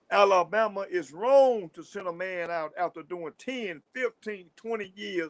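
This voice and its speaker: In a Southern US accent, a man speaks in a high voice. He goes at a fairly slow pace. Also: dry, close sound with no echo. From US South. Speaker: livestream host, former prisoner. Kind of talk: livestream talk. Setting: livestream. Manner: stuttering at times; animated.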